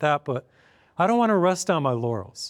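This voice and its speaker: A man with a normal speaking voice and a fairly high pitch talks at a fairly quick pace, in a dry, close sound with no echo on a very clean recording with a silent background. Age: 60s. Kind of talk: televised sermon-style talk. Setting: filmed program.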